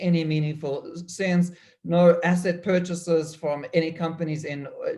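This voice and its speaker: A high-pitched man speaks in a dark, mellow tone. His intonation is monotone and flat, and his pace is fairly slow. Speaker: economist. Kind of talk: panel talk. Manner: halting.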